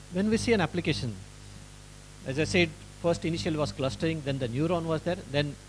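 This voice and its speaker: A man's fairly high, somewhat breathy voice at a fairly quick pace, with ordinary pitch variation and long, frequent pauses. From India, Maharashtra. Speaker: engineering professor. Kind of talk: lecture. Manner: halting.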